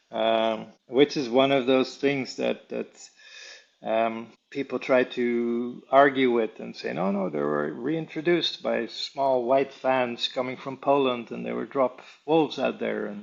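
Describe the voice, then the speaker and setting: A man speaks with a Dutch accent. His pace is fairly slow. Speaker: wildlife tracker and conservationist. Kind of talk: interview. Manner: hesitant, many fillers.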